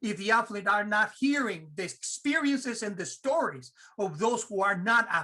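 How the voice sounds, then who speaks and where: At a moderate pace, a man with a high pitch projects a raised voice, his tone bright, sharp and animated, his intonation lively. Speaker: theology professor. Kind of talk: panel discussion.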